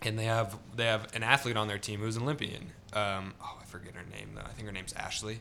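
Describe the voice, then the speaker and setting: A man with an American accent talks at a very fast pace with hardly any pauses, in a fairly low pitch and fairly even intonation, with big swings in loudness and noticeable background noise. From Central California. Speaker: photographer with a corporate job. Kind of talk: casual chat.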